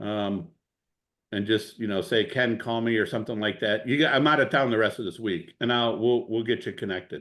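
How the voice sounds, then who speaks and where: A man with a strong Cleveland accent, medium pitch and a fairly quick pace. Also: ordinary pitch variation. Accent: strong Midwest Cleveland. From Ohio, US Midwest. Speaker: real estate investor. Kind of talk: masterclass Q&A on video call. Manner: casual, animated, many fillers.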